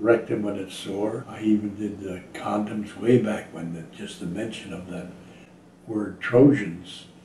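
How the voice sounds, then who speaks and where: A man's fairly low, dark and mellow voice, somewhat breathy, with audible room echo and light background noise. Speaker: voice actor. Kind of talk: interview answer. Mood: wry, amused. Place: home room.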